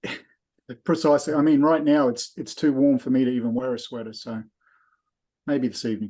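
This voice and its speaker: A man with an Australian accent, medium pitch and a dark, mellow tone, fairly even intonation, a fairly quick pace broken by long, frequent pauses, against a quiet background. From Australia, Brisbane. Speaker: invited presenter. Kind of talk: casual chat.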